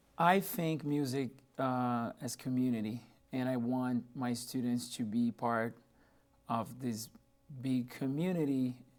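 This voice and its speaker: Here a man talks with a Portuguese accent. His intonation stays fairly even. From Brazil, São Paulo. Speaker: music professor. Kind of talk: radio interview.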